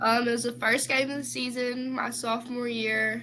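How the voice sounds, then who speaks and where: A bright, sharp tone with monotone, flat intonation at a moderate pace. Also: woman. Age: young. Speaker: former high school basketball player. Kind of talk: interview testimony. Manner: hesitant, many fillers.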